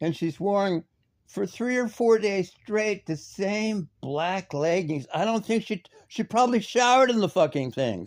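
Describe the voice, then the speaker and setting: His intonation is lively and his pitch high for a man. This man talks at a fairly slow pace on a very clean recording with a silent background. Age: 60s. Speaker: commentary streamer. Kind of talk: ranting commentary. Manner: animated; halting.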